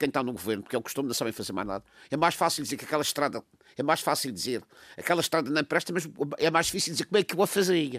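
On a very clean recording with a silent background and a dry, close sound free of echo, a man talks very fast in a fairly high pitch with lively intonation. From Madeira, Portugal. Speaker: political commentator. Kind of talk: political discussion.

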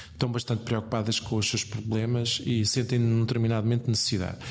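Fairly quick pace and medium pitch from a man. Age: 40s. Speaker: politician, campaign coordinator. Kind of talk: interview. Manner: hesitant, many fillers.

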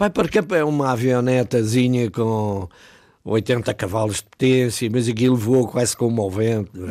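Fairly slow and at a medium pitch, a man speaks in a dark, mellow tone with ordinary pitch variation on a very clean recording with a silent background. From Ribatejo, Portugal. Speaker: retired pilot and author. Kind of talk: radio interview. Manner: halting, repeats words.

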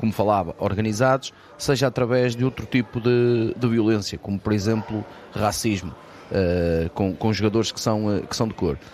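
A man with a normal speaking voice talks at a moderate pace, with a fairly low pitch and fairly even intonation. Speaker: sports course coordinator. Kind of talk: radio panel discussion.

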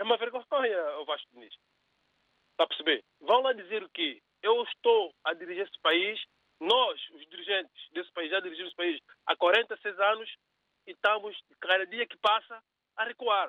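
A man with a high pitch and ordinary pitch variation speaks at a moderate pace. He takes long, frequent pauses, and his loudness swings widely. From São Tomé and Príncipe. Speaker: radio caller. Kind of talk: opinion on call-in radio. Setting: phone call.

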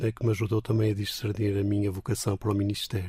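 This man's speech is somewhat breathy, with fairly even intonation. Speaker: Anglican bishop. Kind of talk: radio interview.

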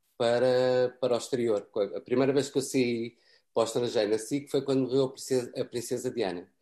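A man speaks at a fairly quick pace, his medium-pitched voice rising and falling in an ordinary way. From Portugal. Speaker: cameraman. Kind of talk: interview. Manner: repeats words, halting.

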